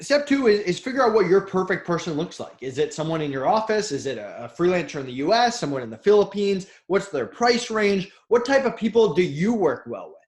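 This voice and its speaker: A man speaks at a high pitch, with very wide pitch swings and big swings in loudness. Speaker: entrepreneur, marketplace founder. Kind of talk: interview. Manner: fast; direct.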